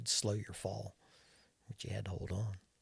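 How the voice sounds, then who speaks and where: A man talks at a fairly low pitch. His voice is somewhat breathy. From US South, North Carolina (Winston-Salem). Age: 70s. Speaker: retired airline captain. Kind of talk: casual chat. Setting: studio.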